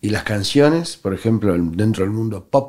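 A man with a Rioplatense accent and lively intonation, in a very clean recording over a silent background. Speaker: radio host, musician. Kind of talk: casual interview.

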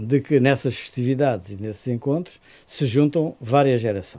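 A man speaks at a fairly slow pace in a dark, mellow tone with ordinary pitch variation. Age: 70s. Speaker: public health professor. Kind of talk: interview. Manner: halting.

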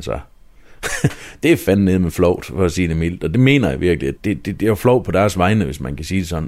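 Very deep and low with vocal fry, a man's voice moves at a moderate pace with lively intonation. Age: 30s. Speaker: mayor and local politician. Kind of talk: interview.

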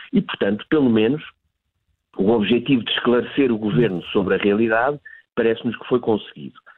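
Talking at a fairly quick pace with long, frequent pauses, a man keeps a medium pitch and ordinary pitch variation. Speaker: retail industry association director. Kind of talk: live news interview. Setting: live broadcast interview. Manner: halting, many repetitions and fillers.

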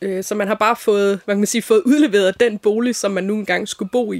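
Speaking at a moderate pace, a woman keeps her intonation fairly even at a medium pitch. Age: 40s. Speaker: designer and folk high school teacher. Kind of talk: interview. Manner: hesitant, many fillers.

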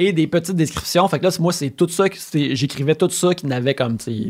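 A man speaks in a Quebec accent. His pitch varies in an ordinary way. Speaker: video game writer. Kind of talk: casual chat. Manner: halting.

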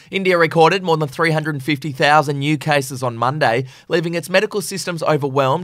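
In a very clean recording with a silent background, a man talks at a fairly quick pace and a fairly high pitch. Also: hardly any pauses. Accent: Australian. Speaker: news podcast host. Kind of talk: news reading.

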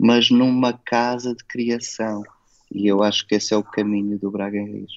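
This man speaks at a fairly slow pace. His intonation stays fairly even. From Portugal. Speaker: festival curator and children's author-illustrator. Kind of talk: interview. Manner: hesitant, with frequent repetitions.

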